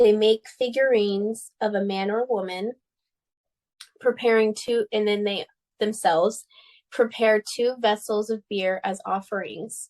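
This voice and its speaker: A plain, everyday voice from a woman with an American accent, fairly high pitch, fairly slow pace and fairly even intonation, in a dry, close sound with no echo. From United States. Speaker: podcast co-host. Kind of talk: casual chat.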